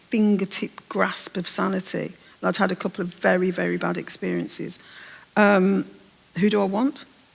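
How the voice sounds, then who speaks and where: A woman at a moderate pace, in a Birmingham accent. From English Midlands, Birmingham. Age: 60s. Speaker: novelist. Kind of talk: onstage literary interview. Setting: stage with audience.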